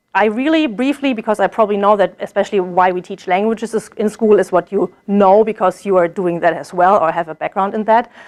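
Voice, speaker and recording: Over a quiet background, a woman with a German accent speaks at a fairly high pitch with ordinary pitch variation. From Germany. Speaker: German language teacher, graduate student. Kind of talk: presentation. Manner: hesitant, many fillers.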